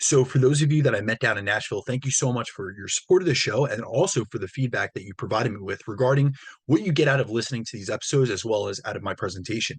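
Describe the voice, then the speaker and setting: Against a quiet background, a man speaks somewhat breathily at a very fast pace and medium pitch, with hardly any pauses and ordinary pitch variation. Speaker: fitness coach and podcast host. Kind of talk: solo podcast monologue.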